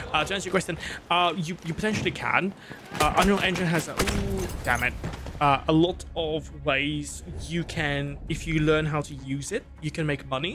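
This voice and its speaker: A man speaks at a moderate pace with a non-native accent. Noticeable background noise runs underneath. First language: not English. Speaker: gaming streamer and game programmer. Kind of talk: live gameplay stream chat. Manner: hesitant, many fillers.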